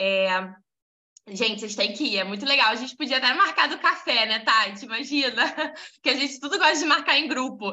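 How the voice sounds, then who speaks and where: A woman's raised, projected voice, high-pitched and animated, with lively intonation at a fairly quick pace. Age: 20s. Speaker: women's devotional group leader. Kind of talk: casual devotional talk.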